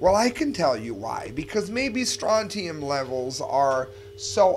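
Against light background noise, a man speaks at a fairly slow pace with very wide pitch swings. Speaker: independent news show host. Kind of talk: news commentary with sarcastic humor. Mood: emphatic, incredulous. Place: home room.

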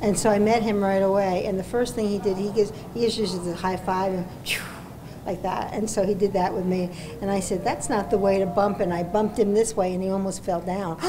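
Over noticeable background noise, a woman talks at a fairly quick pace in a monotone, flat intonation. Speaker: retirement home resident. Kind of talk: interview. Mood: amused, anecdotal. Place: home room.

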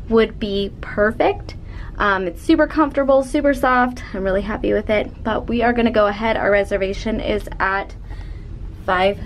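The delivery keeps a moderate pace with ordinary pitch variation. Light background noise can be heard. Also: woman. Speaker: travel vlogger. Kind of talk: casual vlog chat. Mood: cheerful, chatty. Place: home room. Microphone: phone near.

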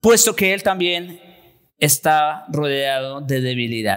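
A man's bright, sharp tone at a very slow pace. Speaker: pastor. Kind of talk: sermon. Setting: church. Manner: formal, teacherly, expository; earnest, emphatic.

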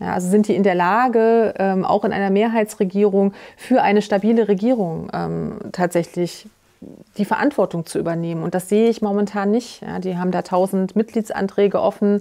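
A woman speaks at a medium pitch in a dark, mellow tone, with fairly even intonation. Her pace is moderate, and the background is quiet. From Thuringia, eastern Germany. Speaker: politician, lead candidate; politician, candidate. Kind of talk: political interview. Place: studio. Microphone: lapel.

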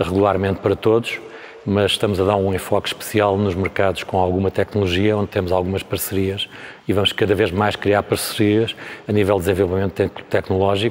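Monotone and flat in intonation, a man speaks fairly quickly at a fairly low pitch. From Portugal. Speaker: company representative. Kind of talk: interview at trade fair; interview answer. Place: hall.

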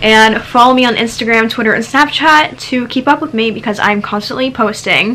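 At a moderate pace, a woman is talking. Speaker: vlogger. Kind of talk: casual vlog chat. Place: home room. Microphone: phone near.

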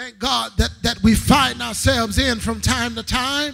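Against a quiet background, a man projects a raised voice with an extremely high pitch and a bright, sharp tone. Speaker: guest preacher. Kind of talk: sermon. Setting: church with live congregation. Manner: fervent, filler-heavy with amen and thank God. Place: church. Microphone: podium.

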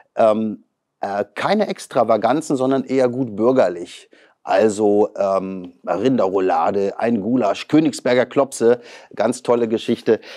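A man talks at a fairly slow pace in a dark, mellow tone with ordinary pitch variation. The background is quiet. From northern Germany, Western Pomerania (near Pasewalk); Western Pomerania, Germany. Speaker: politician, member of parliament and lawyer; politician guest. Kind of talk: interview. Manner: hesitant, many filler sounds. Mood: relaxed, chatty about hobbies. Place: studio. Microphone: lapel.

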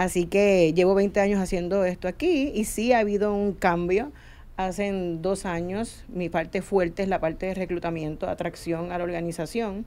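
Her tone is dark and mellow, and the woman's pitch varies in an ordinary way. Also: moderate pace. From Puerto Rico. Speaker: HR consulting firm head; guest. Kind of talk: panel discussion. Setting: radio studio. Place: studio. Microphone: studio mic.

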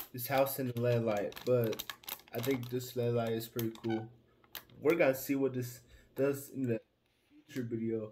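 A man at a moderate pace, with long, frequent pauses, monotone, flat intonation and light background noise. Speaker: haul vlogger. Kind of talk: casual vlog chat. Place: home room. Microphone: phone near.

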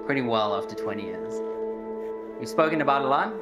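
Clear music plays in the background. Over it, a man talks at a very fast pace. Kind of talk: wedding speech. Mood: humorous, warm storytelling. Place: hall. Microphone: handheld.

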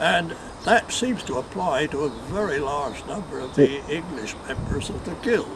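Noticeable background noise sits behind a man with a fairly high pitch. He moves at a moderate pace with lively intonation and big swings in loudness. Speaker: knot tyer, first president of knot tyers' guild. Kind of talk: interview answer.

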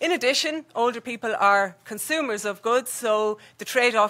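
Over a quiet background, a woman talks at a moderate pace with a fairly high pitch and a bright, sharp tone. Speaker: health economist, researcher; presenter. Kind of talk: conference presentation. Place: hall.

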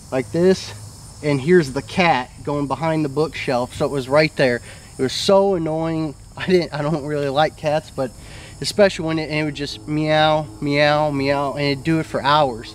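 A man's voice at a moderate pace, with fairly even intonation and light background noise. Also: dry sound with no echo. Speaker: storyteller. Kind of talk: casual storytelling to camera. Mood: earnest, mildly spooked recounting. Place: garden.

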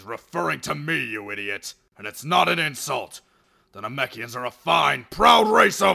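A man's put-on character voice, medium in pitch, with very wide pitch swings. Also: moderate pace.

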